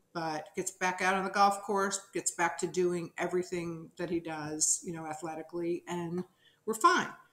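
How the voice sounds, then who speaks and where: With an American accent, a woman speaks at a moderate pace in a fairly low pitch, with audible room echo. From New Jersey. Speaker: television producer; interview guest. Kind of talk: interview testimony. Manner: animated. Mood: earnest, reflective. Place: home room.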